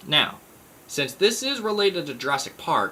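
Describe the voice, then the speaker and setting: Vocal fry runs through this man's voice at a moderate pace. His pitch moves in very wide swings. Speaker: YouTuber, book reviewer. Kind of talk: book review monologue. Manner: stuttering; casual.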